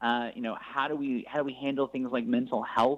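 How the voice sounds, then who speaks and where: This man has an unremarkable speaking voice at a medium pitch, lively intonation and a moderate pace. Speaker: nonprofit spokesman. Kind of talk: radio interview.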